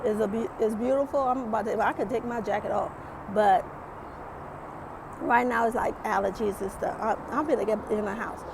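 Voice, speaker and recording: A woman speaks with a fairly high pitch and long, frequent pauses. Noticeable background noise runs under her voice. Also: ordinary pitch variation, moderate pace. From Caribbean island. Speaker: YouTube vlogger. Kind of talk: motivational vlog talk. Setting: outdoors. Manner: animated.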